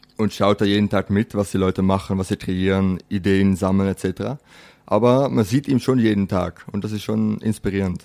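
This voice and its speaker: In a Dutch accent, a man speaks with a fairly low pitch, a dark, mellow tone and fairly even intonation, in a dry, close sound with no echo. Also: moderate pace. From Netherlands. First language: Dutch (speaking German). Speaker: chef. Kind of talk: interview.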